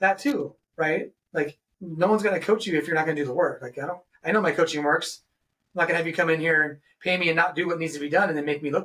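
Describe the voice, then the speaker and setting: Speaking at a very fast pace, a man with a high pitch has an energetic tone and ordinary pitch variation. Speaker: podcast host. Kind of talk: casual interview chat.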